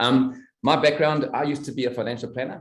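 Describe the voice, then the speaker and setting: A man's fairly quick speech. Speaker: network marketing distributor, former financial planner. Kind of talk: product presentation on video call. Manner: fast.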